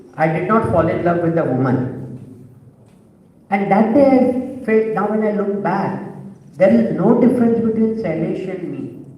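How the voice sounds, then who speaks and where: Amid noticeable background noise and audible room echo, a man with a high pitch speaks with long, frequent pauses. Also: lively intonation, moderate pace. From India, Bombay. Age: 60s. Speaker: LGBT activist, panel speaker. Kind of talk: panel talk, personal testimony.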